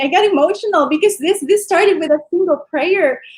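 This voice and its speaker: A woman speaks at an extremely high pitch with lively intonation. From Philippines. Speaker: physical therapist and online business owner. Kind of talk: interview.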